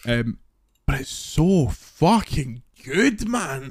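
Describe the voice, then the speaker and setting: With lively intonation, a man speaks at a fairly high pitch in an unremarkable speaking voice. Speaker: podcast co-host. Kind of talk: casual banter podcast chat. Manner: jokey, swearing.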